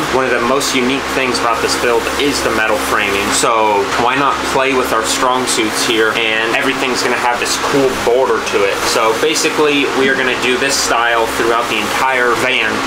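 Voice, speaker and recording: A man talks at a moderate pace with hardly any pauses. Loud background noise runs underneath. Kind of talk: casual vlog chat. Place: street. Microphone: phone near.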